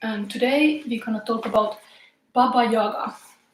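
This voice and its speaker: There is audible room echo around a woman's fairly high voice. She speaks at a fairly slow pace with ordinary pitch variation. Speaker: tarot reader. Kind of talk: live tarot reading. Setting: live stream in tarot room. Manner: halting.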